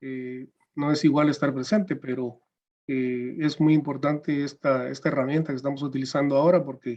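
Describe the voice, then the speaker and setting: Fairly high in pitch, a man speaks at a moderate pace with fairly even intonation. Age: 60s. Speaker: judge. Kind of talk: panel presentation. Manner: hesitant with fillers.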